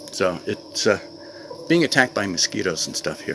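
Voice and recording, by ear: A man speaks at a moderate pace in a low pitch, with big pitch swings, vocal fry and a fairly bright tone. Faint background noise can be heard.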